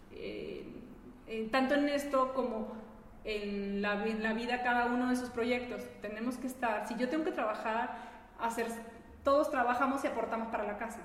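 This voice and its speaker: In a room with audible echo, a woman speaks at a moderate pace with a high pitch and fairly even intonation. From Peru. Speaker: entrepreneur. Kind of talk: casual chat.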